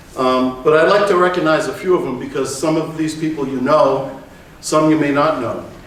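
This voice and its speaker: A man speaks at a fairly high pitch. His voice carries audible room echo and noticeable background noise. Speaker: tennis coach. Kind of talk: conference presentation.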